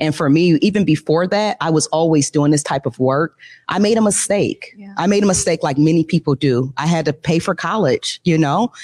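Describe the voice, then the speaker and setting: A woman with a plain, everyday voice and an American accent, hardly any pauses, dry and close with no echo. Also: fairly low pitch for a woman, ordinary pitch variation, fairly quick pace. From US Midwest. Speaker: nonprofit founder. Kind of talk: interview. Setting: stage with audience.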